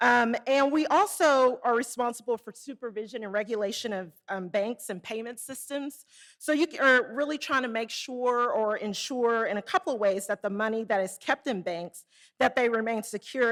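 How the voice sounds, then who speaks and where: With a Southern US accent, a woman speaks at a fairly high pitch and a moderate pace, showing ordinary pitch variation and hardly any pauses. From Arkansas, US South. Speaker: conference speaker, Federal Reserve rural development staff. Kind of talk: conference presentation. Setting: conference room with live and online audience.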